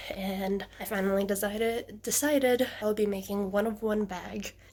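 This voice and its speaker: A woman's medium-pitched, ordinary speaking voice with fairly even intonation. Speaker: leather crafter vlogger. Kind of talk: casual vlog narration.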